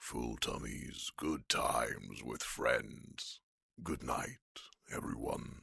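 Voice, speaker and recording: A whispered, put-on character voice at a very slow pace. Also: man. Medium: audio drama. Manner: blunt, composed.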